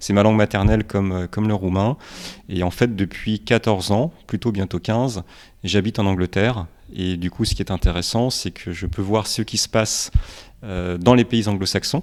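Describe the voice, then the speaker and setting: With a normal speaking voice, a man talks at a moderate pace and fairly low pitch with fairly even intonation, recorded very cleanly over a silent background. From Romania, then France from age five. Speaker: startup founder. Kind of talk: podcast interview.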